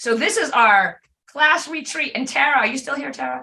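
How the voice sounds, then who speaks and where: With a raised, projected voice, a woman speaks high in pitch, her tone bright and sharp and her pitch swinging very widely. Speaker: class leader / instructor. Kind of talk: tutorial. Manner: fast.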